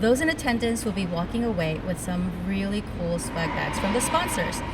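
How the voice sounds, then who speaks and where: There is noticeable background noise and audible room echo. A woman talks at a moderate pace with a medium pitch and lively intonation. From immigrated to the US at age ten. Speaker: podcast host; teacher. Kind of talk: casual interview. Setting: in-person recording at a summit venue.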